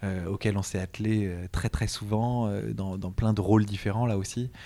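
A man's fairly low voice at a fairly slow pace, on a very clean recording with a silent background. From France, Montreuil near Paris. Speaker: cellist and conductor. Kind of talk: interview. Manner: halting, many hesitations.

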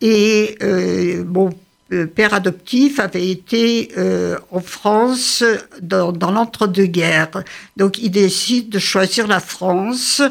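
A very slow woman's voice at medium pitch, with ordinary pitch variation. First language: Yiddish (speaking French). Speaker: translator and scholar of Yiddish literature. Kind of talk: interview.

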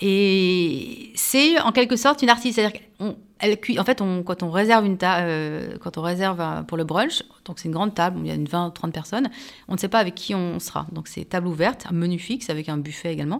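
In a plain, everyday voice, a woman talks at medium pitch and a fairly quick pace with lively intonation, on a very clean recording with a silent background. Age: 40s. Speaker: journalist and author. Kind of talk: radio interview.

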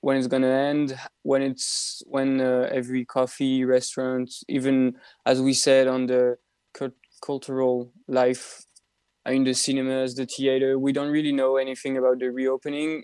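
A man with a dark, mellow tone speaks in a monotone, flat intonation. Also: medium pitch for a man, moderate pace. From Belgium. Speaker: university student. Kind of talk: radio interview. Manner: halting.

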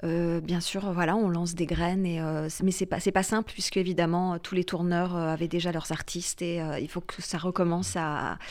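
At a moderate pace, a woman speaks in a flat monotone, recorded very cleanly against a silent background. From France. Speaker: singer-songwriter and actress. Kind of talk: radio interview. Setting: radio studio. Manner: hesitant, many repetitions.

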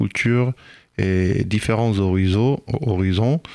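A man speaks in a fairly low pitch with ordinary pitch variation, recorded very cleanly against a silent background with a dry, close sound and no echo. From Israel (Ashkelon region), Ethiopian parents. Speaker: reggae musician. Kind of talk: radio interview. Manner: hesitant, many fillers.

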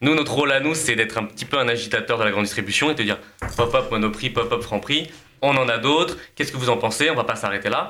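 A very fast, energetic male voice at medium pitch with ordinary pitch variation, over noticeable background noise. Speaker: food entrepreneur. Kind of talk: casual chat.

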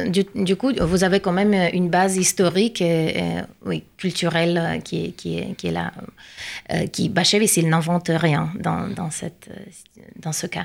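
Talking at a fairly slow pace with long, frequent pauses, a woman speaks with a Russian accent. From Russia, Saint Petersburg. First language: Russian (speaking French). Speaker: translator and researcher. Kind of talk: radio interview.

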